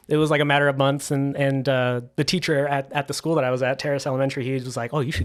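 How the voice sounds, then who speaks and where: A man with an American accent speaks very fast, with hardly any pauses. His pitch is fairly high and varies by an ordinary amount. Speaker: drummer and teacher. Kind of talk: casual chat. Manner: halting.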